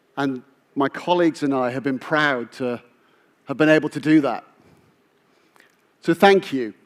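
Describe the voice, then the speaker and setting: With a British accent, a man speaks at a moderate pace in a fairly high voice, his intonation fairly even. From UK. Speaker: business executive. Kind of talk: keynote speech.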